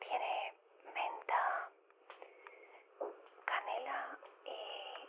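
A woman's very slow whisper, gentle in tone, broken by long, frequent pauses. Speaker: ASMR creator in phone-call roleplay. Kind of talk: ASMR phone-call style talk, caring and encouraging. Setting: home, kitchen sounds. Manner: soft-spoken, gentle, reassuring.

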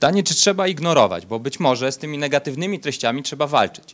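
Very fast and with ordinary pitch variation, a man delivers his words. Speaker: conference presenter. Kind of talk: conference talk. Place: hall.

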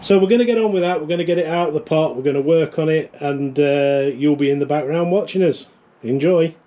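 The man races along at a very fast pace, his pitch varying in an ordinary way. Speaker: channel host. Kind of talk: casual vlog chat. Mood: cheerful, joking. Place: garden.

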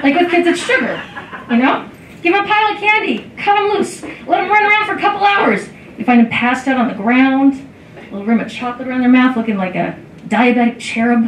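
A woman's high voice at a very fast clip, with very wide swings in pitch, light background noise and audible room echo. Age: 40s. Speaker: comedian. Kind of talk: stand-up comedy, a beginner's first five-minute club set of self-deprecating jokes. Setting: stage with audience at a comedy club. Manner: slightly halting, frequent ums and uhs between bits. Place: stage.

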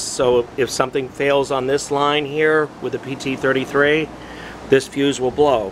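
A man speaks at a moderate pace in a monotone, flat intonation. Noticeable background noise runs under his voice. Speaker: parts seller demonstrating equipment. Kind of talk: tutorial. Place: street. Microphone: phone near.

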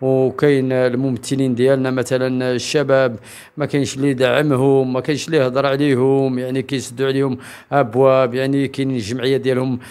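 A man's medium-pitched voice at a moderate pace, flat and monotone in intonation. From Morocco. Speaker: human rights association member; interviewee. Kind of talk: public statement. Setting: event in Agadir. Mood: earnest, complaining about lack of support. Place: home room. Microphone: handheld.

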